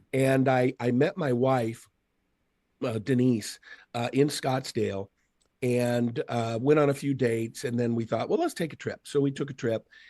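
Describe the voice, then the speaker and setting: Recorded dry and close with no echo, a man with an American accent speaks at a medium pitch and moderate pace, his dark, mellow tone carrying fairly even intonation. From Seattle, US Pacific Northwest. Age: 50s. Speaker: motivational speaker. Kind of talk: casual chat.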